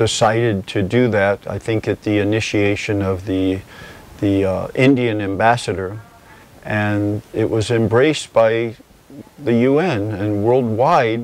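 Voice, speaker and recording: At a fairly slow pace, a man with a fairly low pitch talks in an ordinary speaking voice with fairly even intonation and a dry sound with no echo. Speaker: yoga teacher. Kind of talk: interview answer. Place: home room. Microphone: lapel.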